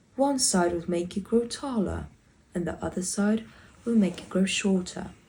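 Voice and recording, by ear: Read aloud in a natural voice, with ordinary pitch variation.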